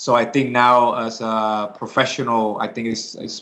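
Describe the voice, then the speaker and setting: Intonation stays monotone and flat as a man with a Spanish accent speaks at a medium pitch. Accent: Spanish accent, noticeable. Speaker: MMA fighter. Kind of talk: interview. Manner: hesitant, many fillers.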